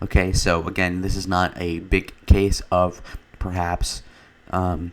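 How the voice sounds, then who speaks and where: Quietly and at a fairly slow pace, a man speaks with a very deep, low pitch. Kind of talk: casual political commentary to camera. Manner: quiet, low energy.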